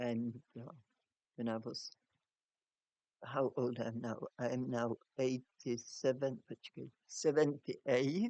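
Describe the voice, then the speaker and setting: Very slow and broken by long, frequent pauses, a man talks at a medium pitch in a dark, mellow tone. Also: fairly even intonation, dry, close sound with no echo. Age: 60s. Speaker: fruitarian video blogger. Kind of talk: personal story monologue. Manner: halting, self-correcting.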